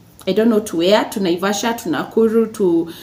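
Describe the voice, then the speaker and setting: The words come fairly quickly. Noise can clearly be heard behind them. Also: woman. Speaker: lifestyle YouTuber. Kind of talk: tutorial. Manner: halting, many fillers.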